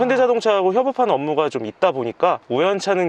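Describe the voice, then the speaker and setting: A man's voice with very wide pitch swings, dry and close with no echo. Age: 30s. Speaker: technical sales at car parts supplier. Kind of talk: interview answer.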